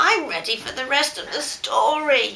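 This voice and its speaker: A woman puts on a character voice, high in pitch, delivered at a moderate pace. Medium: read story. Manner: gruff.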